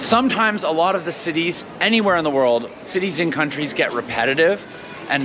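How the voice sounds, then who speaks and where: At a fairly quick pace, a man speaks against noticeable background noise. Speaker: travel vlogger. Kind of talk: casual vlog chat. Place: street. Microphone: lapel.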